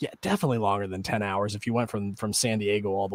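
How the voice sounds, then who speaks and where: Recorded very cleanly against a silent background, a man with a Midwestern accent speaks at a fairly low pitch. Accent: Midwest. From US Midwest, rural Illinois near Peoria. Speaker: podcast co-host. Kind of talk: casual chat.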